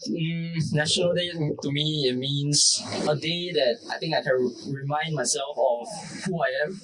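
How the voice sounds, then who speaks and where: Through noticeable background noise, a man with a Singaporean accent speaks at a fairly high pitch with ordinary pitch variation. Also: fairly slow pace. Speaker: podcast co-host. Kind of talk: casual chat. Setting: outdoors.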